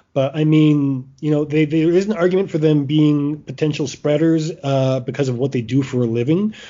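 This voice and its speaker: Fairly quick pace and ordinary pitch variation from a man, a plain, everyday voice, fairly high in pitch. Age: 40s. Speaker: podcast host and sports writer. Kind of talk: casual chat.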